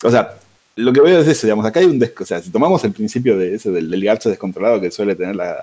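A man speaks very fast with a Rioplatense accent and lively intonation. His medium-pitched voice has a dark, mellow tone. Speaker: podcast guest. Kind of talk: casual chat.

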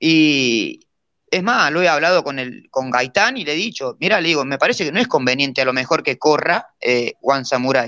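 Speaking with a Rioplatense accent, a man uses a fairly high pitch, a bright, sharp tone and lively intonation at a moderate pace against a quiet background. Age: 30s. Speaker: jockey. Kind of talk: casual interview.

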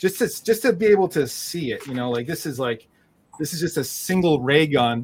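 A man talks at a fairly quick pace in a normal speaking voice. His pitch is fairly high, and his intonation is lively. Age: 30s. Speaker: collage podcast host. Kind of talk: casual interview chat.

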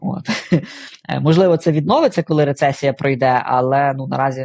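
A man with a fairly high pitch and ordinary pitch variation talks at a fairly quick pace, somewhat breathy, with long, frequent pauses in a dry, close sound with no echo. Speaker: CEO of a product design company. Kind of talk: casual interview.

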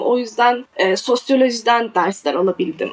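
A woman speaks with a high pitch at a moderate pace. Her pitch varies in an ordinary way. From Turkey, Adana. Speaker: literary translator. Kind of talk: casual interview.

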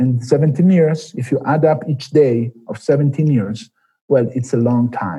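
A man's somewhat breathy, dark, mellow voice at medium pitch with ordinary pitch variation. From Milan, Italy. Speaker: Olympic runner. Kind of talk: interview.

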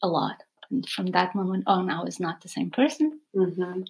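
A woman of medium pitch with a Portuguese accent. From Portugal. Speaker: yoga teacher, nomad. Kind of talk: podcast interview. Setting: in the host's home.

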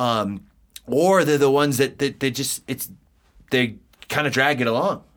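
The speaker has an American accent and talks at a moderate pace with ordinary pitch variation and long, frequent pauses. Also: man, medium pitch for a man. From US East Coast. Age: 40s. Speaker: podcast co-host, entrepreneur. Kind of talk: casual podcast chat.

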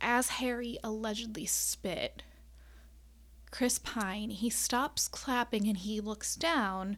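A woman with a US Midwestern accent speaks at a very slow pace. The recording is very clean, with a silent background. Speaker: podcast host and astrologer. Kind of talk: casual solo monologue. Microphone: new USB microphone with wind guard.

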